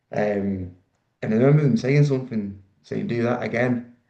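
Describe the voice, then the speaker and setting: Speaking at a fairly quick pace, a man with a Mancunian accent has a dark, mellow tone. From Manchester, northern England. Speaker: rugby league player. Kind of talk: podcast interview.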